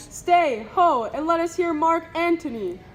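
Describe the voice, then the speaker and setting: A put-on character voice sounds at an extremely high pitch and a moderate pace. Clear background noise runs beneath it. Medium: audio drama. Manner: loud, impulsive.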